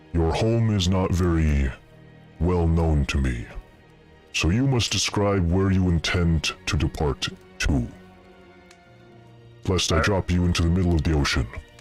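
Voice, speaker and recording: A man's booming, put-on character voice, very deep and low-pitched, at a moderate pace over clear music in the background. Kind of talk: formal, archaic. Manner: imposing, threatening.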